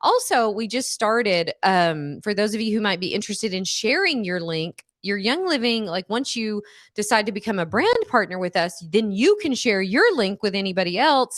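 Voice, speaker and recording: A woman's fairly high voice with ordinary pitch variation, hardly any pauses, and a quiet background. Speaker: wellness educator and product distributor. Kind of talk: livestream class with sales pitch. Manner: fast.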